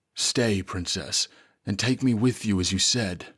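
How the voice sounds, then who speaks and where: Put-on character voice from a man, medium in pitch and fairly slow in pace. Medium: read story. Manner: soft-spoken.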